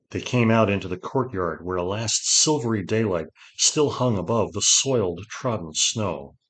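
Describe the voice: Someone does plain reading aloud. Ordinary pitch variation is heard.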